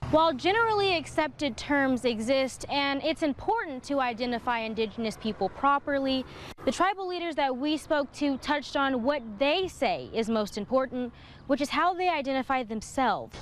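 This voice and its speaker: With an American accent, a woman talks at a moderate pace in a high voice with lively intonation, over noticeable background noise. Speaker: multimedia journalist, weekend evening news anchor and reporter. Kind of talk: pre-recorded reporter package narration.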